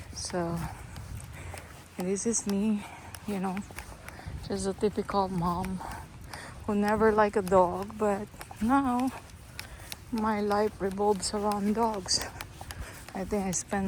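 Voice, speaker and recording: Against noticeable background noise, a woman with a non-native accent speaks very slowly at medium pitch, flat and monotone, with long, frequent pauses. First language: not English. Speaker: dog owner vlogger. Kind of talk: casual vlog talk while walking. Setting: outdoors walking dogs.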